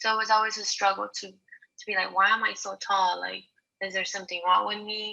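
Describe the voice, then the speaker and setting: A woman talks at a fairly quick pace in a medium pitch with monotone, flat intonation. Her loudness swings in big jumps. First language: not English. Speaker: college student. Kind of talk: class presentation. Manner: halting, many fillers and repetitions.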